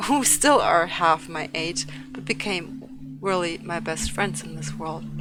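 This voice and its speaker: With music in the background, a woman speaks at a fairly slow pace, her loudness swinging widely. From Turkey. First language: not English; fluent in German. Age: 30s. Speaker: streamer and esports organization head. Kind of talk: casual livestream talk while painting. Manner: hesitant with many fillers.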